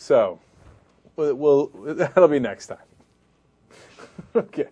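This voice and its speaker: Leaving long, frequent pauses, a man talks with big swings in loudness. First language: not English. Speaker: talk show host. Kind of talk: casual banter. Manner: animated.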